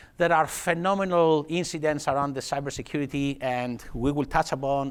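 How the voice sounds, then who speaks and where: With a Greek accent, this man talks at a fairly quick pace in a fairly high pitch, keeping his intonation fairly even. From Greece, Athens. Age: 50s. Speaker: technology executive. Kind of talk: conference talk. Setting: stage with audience. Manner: fast.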